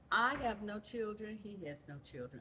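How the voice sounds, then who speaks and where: A woman with a Southern US accent speaks at a fairly slow pace, her intonation lively. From Louisiana. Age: 70s. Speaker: church member. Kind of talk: interview.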